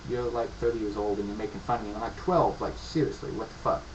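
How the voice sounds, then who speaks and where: A man with an American accent, with noticeable background noise and audible room echo. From upstate New York, near Pennsylvania border. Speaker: gaming video creator. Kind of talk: casual gaming commentary monologue.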